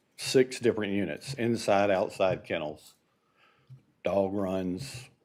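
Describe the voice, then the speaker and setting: A man uses an ordinary speaking voice at a fairly low pitch with ordinary pitch variation. The recording is very clean against a silent background. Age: 60s. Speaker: resident speaking at public comment. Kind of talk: public comment. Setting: city commission meeting.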